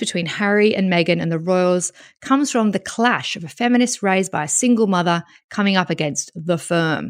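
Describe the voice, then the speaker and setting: A woman with a British accent, medium pitch, lively intonation and a fairly quick pace, on a very clean recording with a silent background. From Britain. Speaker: writer. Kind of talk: reading aloud.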